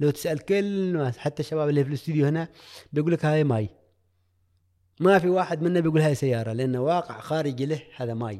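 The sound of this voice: A man talks fairly quickly at a fairly high pitch, his tone dark and mellow, with ordinary pitch variation.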